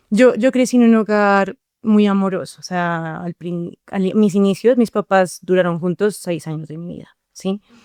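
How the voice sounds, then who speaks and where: Recorded very cleanly against a silent background, a woman with a Bogotá accent speaks at a moderate pace and medium pitch, the sound dry and close with no echo. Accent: Bogotá Colombian Spanish. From Colombia, Bogotá. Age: 20s. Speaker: psychologist, podcast guest. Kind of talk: personal testimony interview.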